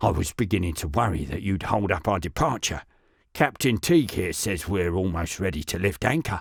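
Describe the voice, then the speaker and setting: A raspy, put-on character voice delivers lines at a fairly quick pace with lively intonation in a very clean recording with a silent background. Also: man, very deep, low pitch for a man. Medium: read story. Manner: nervous.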